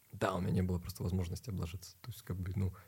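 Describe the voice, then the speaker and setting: A man's somewhat breathy voice sits at a very deep, low pitch and has a dark, mellow tone. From Ukraine, Kharkiv. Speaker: ballet dancer and film actor. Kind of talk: casual chat.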